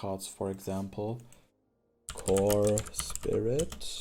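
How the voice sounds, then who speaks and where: Speaking with a German accent, a man has a fairly low pitch and a dark, mellow tone. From Germany. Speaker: streamer and card game content creator. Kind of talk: casual gameplay commentary. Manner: halting, many fillers and restarts.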